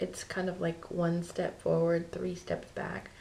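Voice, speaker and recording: Audible room echo surrounds the voice. A woman speaks at a moderate pace. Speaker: vlogger. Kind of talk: casual vlog. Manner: hesitant, many ums; quiet, low voice.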